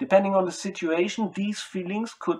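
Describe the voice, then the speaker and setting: A man speaks with a non-native accent. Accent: non-native English speaker. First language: German. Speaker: spiritual self-styled speaker. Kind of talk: monologue to camera. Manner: halting.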